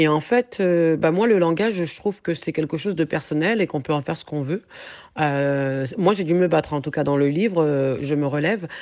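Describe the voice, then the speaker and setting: Over a quiet background, a woman talks at a moderate pace with a very deep, low pitch. Her pitch variation is ordinary. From France, grew up in a housing estate. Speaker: author and fitness founder. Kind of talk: radio interview.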